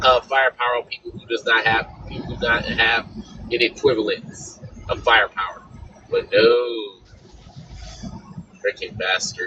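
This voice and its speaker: The man speaks at a moderate pace with long, frequent pauses and big swings in loudness. Noticeable background noise is present. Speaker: panel caller on a live political chat. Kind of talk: casual political discussion. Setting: live online audio panel. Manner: hesitant, with fillers.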